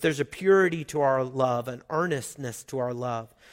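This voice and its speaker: The intonation here is lively. It comes from a man with a Southern US accent. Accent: Southern US (Oklahoma). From Oklahoma. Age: 40s. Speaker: pastor. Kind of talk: sermon. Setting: church.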